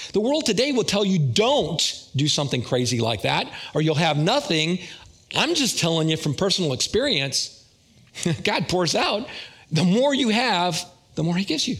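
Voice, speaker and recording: Very even loudness and very wide pitch swings at a moderate pace, with long, frequent pauses and audible room echo. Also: man, high pitch for a man. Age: 60s. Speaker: lay preacher. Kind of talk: sermon. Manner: casual.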